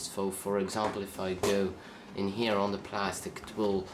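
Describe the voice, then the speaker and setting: Over noticeable background noise and audible room echo, a man talks at a moderate pace in a fairly low pitch. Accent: Dutch. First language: Dutch. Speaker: tech reviewer. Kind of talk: product review. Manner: halting.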